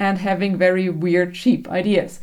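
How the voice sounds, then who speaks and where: A woman with a German accent speaks at a fairly slow pace. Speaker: book vlogger. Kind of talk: casual book review.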